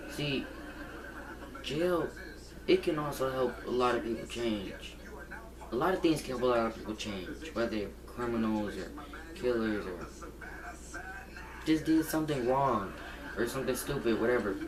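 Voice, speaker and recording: Amid noticeable background noise and audible room echo, a man talks at a moderate pace and medium pitch, with ordinary pitch variation and long, frequent pauses. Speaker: gaming channel vlogger. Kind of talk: casual vlog monologue. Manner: halting, repetitive.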